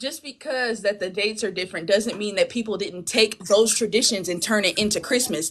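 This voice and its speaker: At a fairly quick pace with hardly any pauses, a woman speaks in a passionate tone at medium pitch with ordinary pitch variation. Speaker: panelist. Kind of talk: heated debate. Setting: live video stream. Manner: loud.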